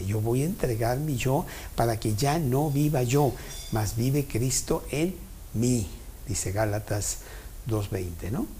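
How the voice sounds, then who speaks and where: A man is speaking. Room echo can be heard. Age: 70s. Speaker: Bible study teacher. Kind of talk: Bible study talk.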